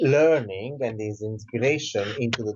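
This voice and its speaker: The speaker has an Italian accent and a fairly slow pace. Pitch varies in an ordinary way. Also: man. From southern Italy. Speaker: author and Reiki teacher. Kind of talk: interview.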